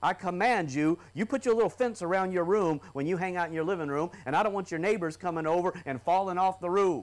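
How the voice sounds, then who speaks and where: A man talks at a very fast pace with hardly any pauses. His pitch varies in an ordinary way. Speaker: preacher. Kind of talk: sermon. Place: church. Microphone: lapel.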